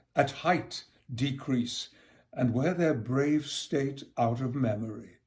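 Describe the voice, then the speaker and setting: Somewhat breathy, a man speaks very slowly at medium pitch with ordinary pitch variation. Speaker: actor. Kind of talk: poetry reading.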